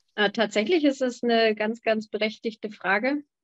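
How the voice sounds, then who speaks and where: A woman speaks in a normal speaking voice at a fairly high pitch and a fairly slow pace. The background is quiet. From Hamburg, Germany. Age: young. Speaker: winemaker; guest. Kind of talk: panel discussion. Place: home room. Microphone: video call.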